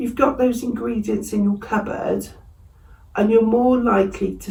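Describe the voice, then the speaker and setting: Someone with an English accent speaks amid noticeable background noise and audible room echo. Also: woman. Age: 60s. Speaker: vlogger. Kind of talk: casual vlog talk. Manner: conversational, with fillers.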